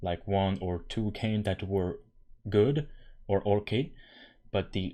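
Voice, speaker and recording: In a very clean recording with a silent background, a man speaks at a moderate pace with a fairly low voice. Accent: non-native. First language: not English. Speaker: gaming YouTuber. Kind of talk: casual commentary vlog. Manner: animated, exasperated.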